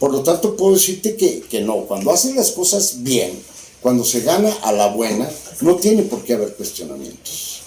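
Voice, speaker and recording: In a Mexican accent, a man with a high pitch talks at a moderate pace with very wide pitch swings, amid noticeable background noise and audible room echo. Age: 60s. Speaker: former politician. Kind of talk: interview conversation.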